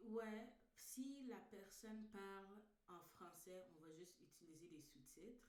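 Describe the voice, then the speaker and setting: In an English accent, a woman speaks at a very slow pace with a medium pitch and ordinary pitch variation, with audible room echo around her. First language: English (speaking French). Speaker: filmmaker. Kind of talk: online meeting discussion.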